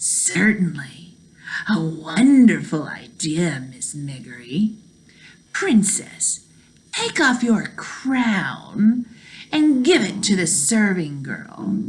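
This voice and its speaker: A female-sounding put-on character voice sits at a middle pitch with very wide pitch swings. The pace is very slow. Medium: read story. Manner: mocking, commanding.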